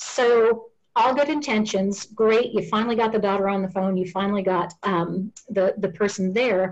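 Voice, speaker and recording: Using a plain, everyday voice, a woman keeps a medium pitch with ordinary pitch variation, very even loudness, hardly any pauses and a moderate pace. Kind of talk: interview.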